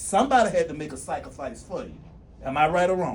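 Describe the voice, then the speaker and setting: A man talking very fast in an animated tone, with audible room echo. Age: 60s. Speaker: school district executive director. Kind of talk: motivational speech. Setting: graduation ceremony with audience.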